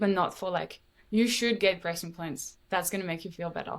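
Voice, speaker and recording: A woman with a French accent speaks at medium pitch with ordinary variation, on a very clean recording with a silent background. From France. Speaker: podcast guest sharing health story. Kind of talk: casual interview chat.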